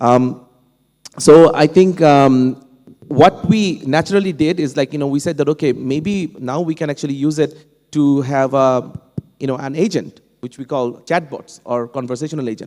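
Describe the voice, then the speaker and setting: Speaking with a Bengali accent, a man has a fairly high pitch and a dark, mellow tone. His pace is moderate, with ordinary pitch variation. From Bangladesh. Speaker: professor, panel speaker. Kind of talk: panel discussion. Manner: halting, many fillers and restarts.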